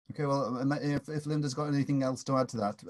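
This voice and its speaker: A man talks fairly quickly at a fairly high pitch. His voice is somewhat breathy. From England. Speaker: professor. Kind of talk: webinar introduction and Q&A. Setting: video call. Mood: relaxed, lightly humorous. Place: home room. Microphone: video call.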